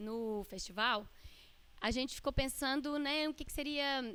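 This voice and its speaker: Her tone is bright and sharp, with ordinary pitch variation. The woman speaks at a fairly slow pace. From Minas Gerais, Brazil. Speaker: visual artist and researcher. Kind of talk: lecture.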